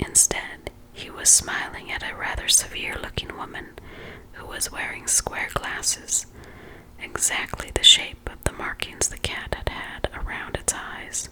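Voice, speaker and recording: Whispering from a woman at a fairly slow pace, over noticeable background noise. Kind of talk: whispered ASMR audiobook reading. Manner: whispered, soft, calming.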